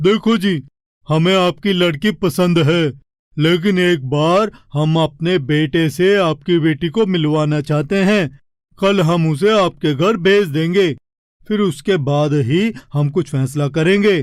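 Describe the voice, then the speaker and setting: Using a cartoonish character voice, a man speaks with high pitch at a fairly slow pace. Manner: polite, formal.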